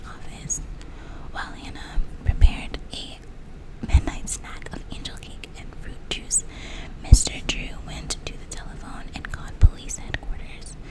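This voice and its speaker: A woman whispers fairly slowly while noticeable background noise plays behind her. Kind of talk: whispered audiobook-style reading of a mystery novel. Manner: whispered.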